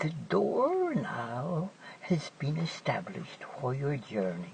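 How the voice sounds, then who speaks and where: A put-on character voice at low-to-middle pitch moves at a very slow pace over clear background noise. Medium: read story.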